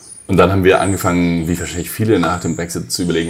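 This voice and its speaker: Over music in the background, a man with a very deep, low voice talks at a very fast pace with fairly even intonation. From Germany, Hesse near Frankfurt. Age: 30s. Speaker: politician, party co-founder. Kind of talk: interview.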